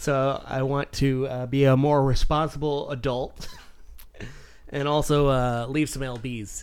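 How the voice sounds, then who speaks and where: A man speaks at a fairly slow pace in a fairly high pitch, his intonation monotone and flat. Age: 30s. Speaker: podcast co-host. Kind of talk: casual chat.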